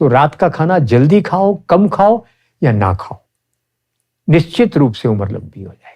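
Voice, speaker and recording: This man's fairly high voice has a dark, mellow tone, swinging very widely in pitch and greatly in loudness, broken by long, frequent pauses. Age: 70s. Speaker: ayurvedic practitioner. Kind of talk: interview.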